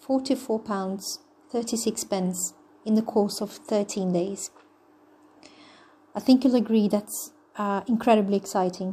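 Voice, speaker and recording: Her voice is fairly high and somewhat breathy, with a dark, mellow tone. The woman talks at a fairly slow pace with long, frequent pauses. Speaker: online money-making promoter. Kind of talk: sales pitch. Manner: low-energy, flat; hesitant, many fillers.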